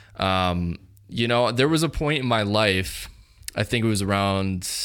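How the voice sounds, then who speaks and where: With a normal speaking voice, a man talks at a fairly slow pace in a fairly low pitch. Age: 20s. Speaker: podcast host; photographer. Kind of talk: casual chat. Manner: casual, filler-heavy.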